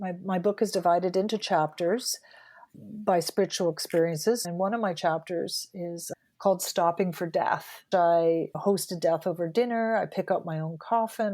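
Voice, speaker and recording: A woman with a Canadian accent, medium pitch and a dark, mellow tone at a moderate pace, on a very clean recording with a silent background. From Canada. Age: 60s. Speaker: journalist and author. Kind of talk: interview conversation.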